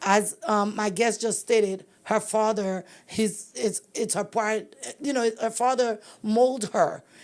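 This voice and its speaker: A woman speaks in an ordinary speaking voice, fairly high in pitch. The recording is very clean, with a silent background. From immigrant, came to US very young. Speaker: podcast host. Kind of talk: interview conversation.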